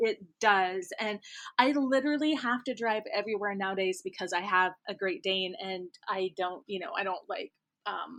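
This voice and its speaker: Over a quiet background, a woman with a slight Midwestern accent speaks with lively intonation. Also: medium pitch for a woman, moderate pace. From US Midwest, rural Kansas. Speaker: romance author. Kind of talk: casual interview chat. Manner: chatty, many fillers.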